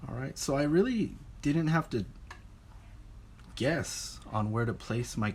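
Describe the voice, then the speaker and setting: A man speaks in a somewhat breathy voice. His pace is moderate and his pitch variation ordinary. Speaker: art teacher. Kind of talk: lecture.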